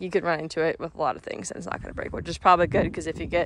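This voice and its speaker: A woman speaks in a dry sound with no echo. There is light noise in the background. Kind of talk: casual vlog chat. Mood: excited, upbeat. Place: farm machine. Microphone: phone near.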